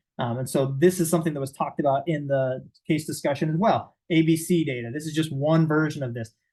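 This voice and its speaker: A man talks at a very fast pace with hardly any pauses and fairly even intonation. His fairly high voice is somewhat breathy with a dark, mellow tone, over a quiet background. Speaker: behavioral clinician presenting to professionals. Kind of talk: lecture. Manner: casual, conversational.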